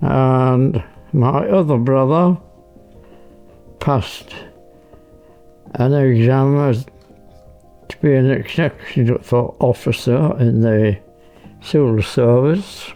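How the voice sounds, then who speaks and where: Over music in the background, a man talks at a very slow pace with long, frequent pauses, using a medium pitch and ordinary pitch variation. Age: 80s+. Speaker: war veteran, former RAF bomber pilot. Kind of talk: interview answer.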